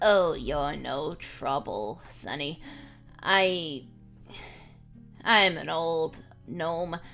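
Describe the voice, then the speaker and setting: Clear music plays behind a put-on character voice at a middle pitch, delivered very slowly with long, frequent pauses. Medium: actual play. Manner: gentle, sorrowful.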